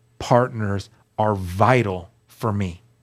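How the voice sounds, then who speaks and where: Very clean recording of a male speaker against a silent background. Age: 40s. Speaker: guest sharing recovery testimony. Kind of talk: testimony.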